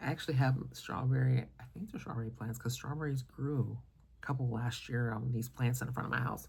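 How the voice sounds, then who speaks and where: Soft-spoken and with vocal fry, this voice moves at a fairly quick pace with fairly even intonation. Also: woman, very deep, low pitch for a woman. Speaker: perfume content creator. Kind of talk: casual vlog review.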